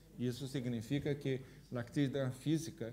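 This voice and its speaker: A man speaks at a fairly slow pace in a medium-pitched, somewhat breathy voice. Room echo is audible. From Brazil. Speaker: gerontologist, public health expert. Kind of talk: public talk with audience Q&A. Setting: auditorium with live audience.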